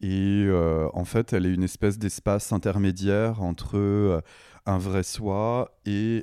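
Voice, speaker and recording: A man's very deep, low voice with a dark, mellow tone, fairly even intonation and a very slow pace. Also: very clean recording, silent background. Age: 30s. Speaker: artist and bodybuilder. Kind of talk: interview. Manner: casual, laughing at times.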